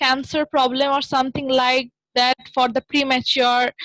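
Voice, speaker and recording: With a non-native accent, this speaker delivers words at a fairly slow pace. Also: woman. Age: 20s. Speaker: documentary filmmaker. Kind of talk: interview. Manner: halting, many fillers. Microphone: technical issues.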